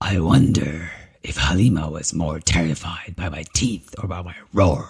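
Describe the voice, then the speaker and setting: A man puts on a character voice. His pitch sits very deep and low. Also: moderate pace. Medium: read story.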